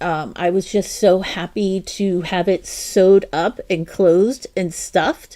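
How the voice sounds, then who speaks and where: A dark, mellow tone at a very slow pace with fairly even intonation. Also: woman. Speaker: crochet livestream host. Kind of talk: casual live-stream chat. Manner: chatty, with fillers and self-corrections.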